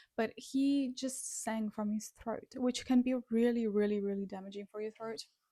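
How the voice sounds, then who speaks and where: Fairly quick speech from a woman with a fairly high, somewhat breathy voice and a dark, mellow tone, in a dry, close sound with no echo. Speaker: music reaction youtuber and singer. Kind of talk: casual reaction commentary.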